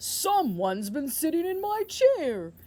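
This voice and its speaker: Someone does a put-on character voice at a high pitch, with very wide pitch swings and a fairly slow pace. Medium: read story.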